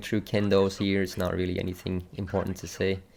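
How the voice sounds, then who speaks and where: The voice carries a non-native accent. Its tone is dark and mellow. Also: man. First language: not English. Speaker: gaming streamer. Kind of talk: tutorial. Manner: casual, hesitant with fillers.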